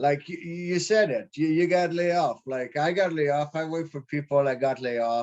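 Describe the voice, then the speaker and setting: With hardly any pauses, a man in a French accent speaks at a moderate pace and a fairly high pitch, with ordinary pitch variation. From Quebec. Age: 30s. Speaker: prospective real estate investor. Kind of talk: casual chat. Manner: halting.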